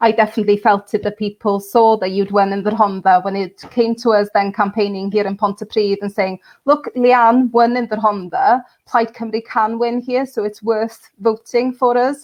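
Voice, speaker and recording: With a North Welsh accent, a woman talks at a moderate pace with hardly any pauses. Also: fairly high pitch for a woman, fairly even intonation. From Wales, Anglesey. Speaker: political candidate and local councillor. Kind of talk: online campaign launch interview. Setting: online live video stream.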